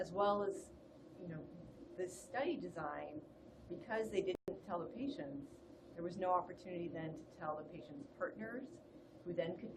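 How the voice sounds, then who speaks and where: A woman with a fairly low voice speaks at a moderate pace with lively intonation and long, frequent pauses, amid noticeable background noise and audible room echo. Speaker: public health lecturer. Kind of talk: webinar lecture. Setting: online webinar. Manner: calm.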